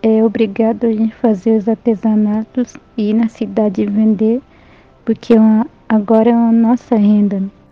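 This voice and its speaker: Music plays behind a woman with a Paraguayan accent. Her fairly high voice stays monotone and flat. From Brazil, Guarani village in Santa Catarina. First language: Guarani (speaking Portuguese). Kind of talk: interview. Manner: halting.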